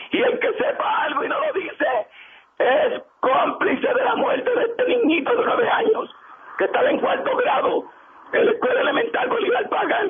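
Amid noticeable background noise, a man with an extremely high pitch speaks at a moderate pace, his loudness very even and his intonation lively. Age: 60s. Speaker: community leader. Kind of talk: radio interview. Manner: animated.

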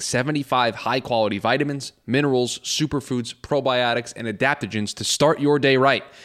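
A man's ordinary speaking voice at a fairly quick pace, with ordinary pitch variation, in a very clean recording with a silent background. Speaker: producer reading ads. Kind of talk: casual banter, ad read.

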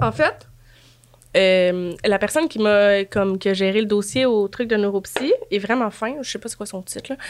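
A woman with a Quebec accent speaks at a moderate pace, her medium-pitched voice showing ordinary pitch variation. Her loudness swings widely, and there is noticeable background noise. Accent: Québécois French. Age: 30s. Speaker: guest. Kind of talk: casual chat.

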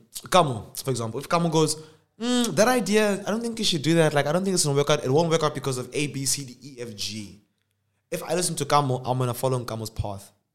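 Very fast delivery with very wide pitch swings and big shifts in loudness. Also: man, fairly high pitch for a man. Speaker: podcast host and YouTuber. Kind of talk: casual chat. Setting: studio.

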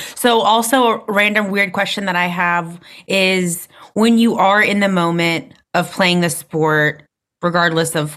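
In a plain, everyday voice, a woman speaks fairly slowly at a fairly low pitch with ordinary pitch variation. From North Carolina. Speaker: podcast host. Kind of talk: interview. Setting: video call.

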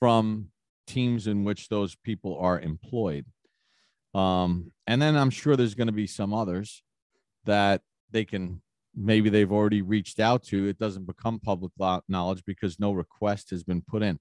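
A man with an ordinary speaking voice talks at a fairly low pitch and moderate pace, with ordinary pitch variation. The recording is very clean and dry, close and free of echo, with a silent background. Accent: American. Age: 50s. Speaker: sports broadcaster and podcast host. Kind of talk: casual sports talk.

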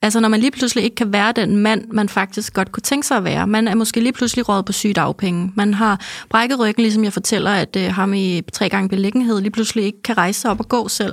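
Very fast speech comes from a woman with a fairly high pitch, fairly even intonation and very even loudness. The recording is very clean, with a silent background. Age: 30s. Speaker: podcast host. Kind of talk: casual chat. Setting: studio.

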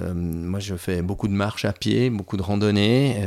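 The recording is very clean, with a silent background. A man speaks fairly slowly in a fairly low voice. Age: 50s. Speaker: patient giving testimony. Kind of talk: testimony. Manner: halting, many hesitations and repeated words.

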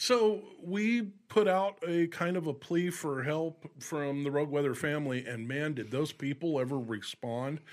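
A man talks in an unremarkable speaking voice at a fairly high pitch, fairly slowly and with hardly any pauses. His intonation is lively, and the recording is very clean with a silent background. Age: 50s. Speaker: former radio host, weather website operator. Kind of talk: casual chat.

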